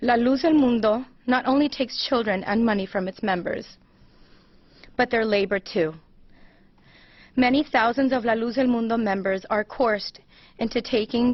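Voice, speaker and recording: A woman with a fairly high voice and an American accent, moderate pace, ordinary pitch variation, and long, frequent pauses. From US West Coast, Los Angeles. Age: 30s. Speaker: abuse survivor. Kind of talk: prepared statement at press conference. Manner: formal.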